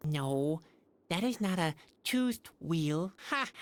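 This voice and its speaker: A female-sounding put-on character voice speaks at a middle pitch. The pace is fairly slow. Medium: video game. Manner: dry, sardonic.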